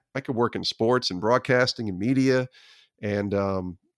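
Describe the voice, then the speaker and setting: With an American accent, a man has a plain, everyday voice, fairly low in pitch, speaking at a moderate pace with fairly even intonation in a dry, close sound with no echo. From upstate New York (Albany area). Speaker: former sports TV producer, faith-and-sports author. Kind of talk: interview conversation.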